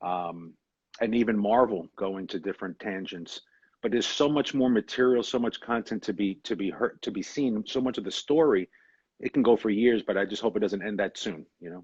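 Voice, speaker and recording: Fairly low-pitched man with a New York accent, ordinary pitch variation and a fairly quick pace, in a dry, close sound with no echo and a quiet background. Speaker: actor. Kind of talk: interview.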